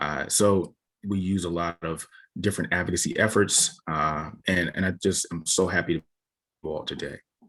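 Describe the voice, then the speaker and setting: Talking at a moderate pace with fairly even intonation, a man with an American accent has a very deep, low pitch. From Sacramento, California. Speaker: emergency physician. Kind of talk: panel discussion.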